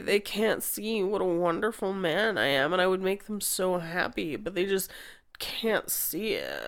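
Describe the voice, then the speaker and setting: A woman's put-on character voice, drawling, medium in pitch, at a moderate pace. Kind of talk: mocking impression of a video maker. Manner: drawling, self-pitying.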